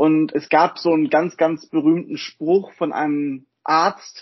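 At a fairly slow pace, a man speaks in a plain, everyday voice that sits at a fairly high pitch. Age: 20s. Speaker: physician and volunteer medical lead. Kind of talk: podcast interview.

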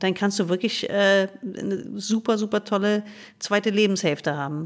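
The woman's medium pitch shifts with ordinary variation. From United States. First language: English (speaking German). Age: 50s. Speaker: gynecologist and author. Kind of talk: interview conversation.

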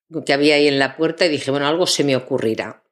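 A woman's very deep, low-pitched voice. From Spain, Zaragoza. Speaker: voice actress and voice-over teacher. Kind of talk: interview.

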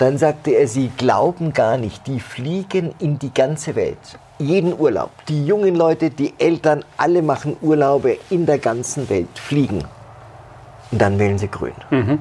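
A man speaks in a fairly high voice that is somewhat breathy, with a dark, mellow tone. His intonation is lively and his pace fairly slow. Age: 50s. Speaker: political journalist. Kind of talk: casual political discussion. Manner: halting.

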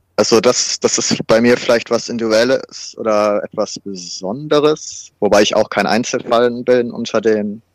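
In an ordinary speaking voice, a man talks at a moderate pace with fairly even intonation, recorded dry and close with no echo. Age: 30s. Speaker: fitness trainer and student with washing compulsion. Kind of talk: interview about personal experience. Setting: remote recording.

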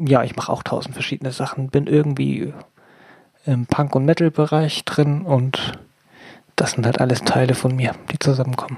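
A woman speaks in a very deep, low voice. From Hamburg. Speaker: activist. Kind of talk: casual chat.

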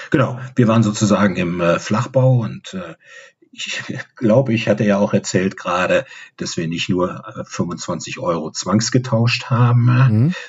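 His unremarkable speaking voice sits at a medium pitch, and this man talks at a fairly slow pace with lively intonation. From Rhineland, Bonn. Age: 60s. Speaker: football fan club member. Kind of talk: interview.

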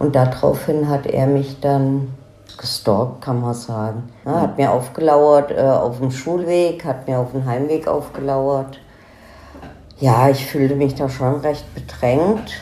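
A woman's very deep, low voice at a very slow pace, fairly even in intonation, with noticeable background noise and audible room echo. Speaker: daughter of a crime victim. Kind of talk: interview testimony. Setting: in-person interview.

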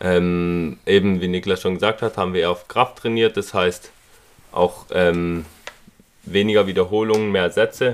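With a very deep, low pitch, a man talks at a fairly slow pace with fairly even intonation. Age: 20s. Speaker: fitness influencer. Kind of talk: casual chat.

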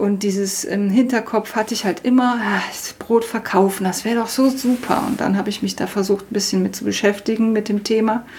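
Amid noticeable background noise, a woman speaks fairly quickly at a fairly high pitch with fairly even intonation. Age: 40s. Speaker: self-taught baker. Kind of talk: interview.

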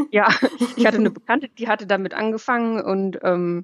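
Her intonation stays fairly even as this woman talks at a medium pitch. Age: 30s. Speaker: dog blogger and pet photographer. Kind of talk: casual chat.

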